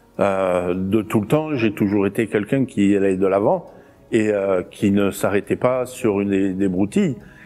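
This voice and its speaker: A man speaks with music playing in the background. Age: 60s. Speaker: gym manager and martial arts club president. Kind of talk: interview monologue. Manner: hesitant, many filler sounds.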